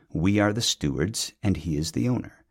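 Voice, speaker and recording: Moderately paced and fairly low in pitch, a man with a normal speaking voice uses lively intonation in a very clean recording with a silent background. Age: 40s. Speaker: podcast host, theology teacher. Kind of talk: reflective monologue.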